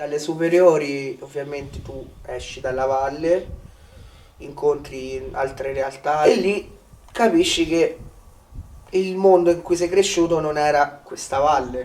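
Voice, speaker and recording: A man in a Romanian accent speaks very slowly with long, frequent pauses. His fairly high voice has ordinary pitch variation and big swings in loudness. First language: Romanian (speaking Italian). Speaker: village resident. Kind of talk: interview.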